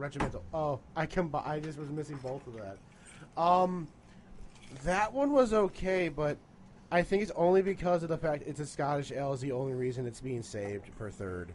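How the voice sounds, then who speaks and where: A man's voice, a plain, everyday voice, fairly high in pitch, with big swings in loudness, lively intonation and a moderate pace. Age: 20s. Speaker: beer tasting podcast co-host. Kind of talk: casual chat.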